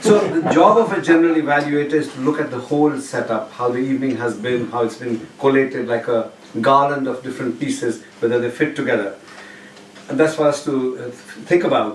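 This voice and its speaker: A man's medium-pitched voice at a fairly quick pace, with audible room echo and noticeable background noise. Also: ordinary pitch variation. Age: 60s. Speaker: speaking club member. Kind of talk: public speech evaluation.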